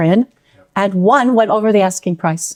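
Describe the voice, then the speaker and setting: Speaking with an American accent, a woman uses an unremarkable speaking voice at medium pitch, ordinary pitch variation and a moderate pace. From United States. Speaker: home seller, estate agency client. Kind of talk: interview, customer testimonial.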